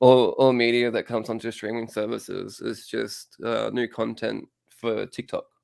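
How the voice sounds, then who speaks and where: A man talks at a moderate pace with an Australian accent, hardly pausing at all. The sound is dry and close, with no echo. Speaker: comic book podcast co-host. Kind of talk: casual chat.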